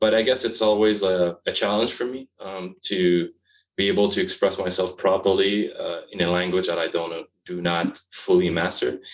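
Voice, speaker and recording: At a moderate pace, a man with a Quebec accent speaks at a fairly low pitch with fairly even intonation. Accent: French-Canadian accent in English. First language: French. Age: 40s. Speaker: publisher and author. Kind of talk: interview. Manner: halting, many fillers.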